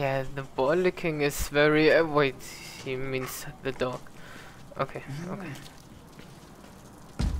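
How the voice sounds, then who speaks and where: Someone with a German accent speaks at a very slow pace. Noticeable background noise runs under the voice. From Germany. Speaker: gaming YouTuber. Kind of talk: let's play commentary.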